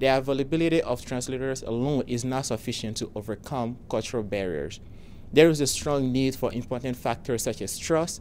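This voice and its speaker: A man with a medium pitch and a non-native accent, fairly quick pace, ordinary pitch variation. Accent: foreign accent, noticeable. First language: not English; speaks four languages. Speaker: software founder, pharmacy professional. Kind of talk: scripted pitch presentation. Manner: formal.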